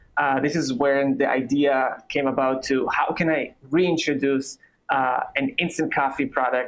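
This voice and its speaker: A man's fairly high voice in an Israeli accent, fairly slow, with fairly even intonation. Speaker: coffee company founder. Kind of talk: interview.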